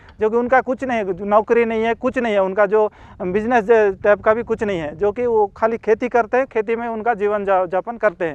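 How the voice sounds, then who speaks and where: Moderate pace against a quiet background. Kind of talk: interview.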